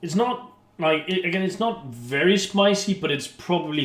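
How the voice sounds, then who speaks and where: A man speaks over noticeable background noise. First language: not English. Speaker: YouTuber, beer chugging and cooking. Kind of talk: casual cooking vlog. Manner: chatty, hesitant with fillers.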